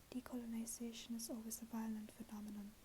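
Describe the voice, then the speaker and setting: A soft-spoken woman uses a monotone, flat intonation at a fairly high pitch. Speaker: ASMR creator. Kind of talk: ASMR book reading.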